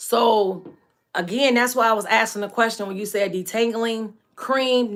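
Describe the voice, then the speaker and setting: This woman's voice sits at a fairly high pitch. Her tone is animated. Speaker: natural hair care live streamer and product seller. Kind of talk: live stream tutorial chat. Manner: fast.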